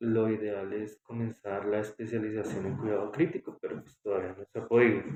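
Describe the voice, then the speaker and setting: Fairly low for a man and fairly even in intonation, his plain, everyday voice moves at a fairly quick pace with big swings in loudness. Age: 30s. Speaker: respiratory therapist. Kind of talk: interview.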